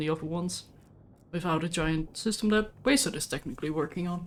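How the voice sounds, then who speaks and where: A woman speaks with a non-native accent at a fairly low pitch. Her intonation is lively. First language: not English. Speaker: gaming streamer. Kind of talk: casual gameplay chat. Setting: live stream.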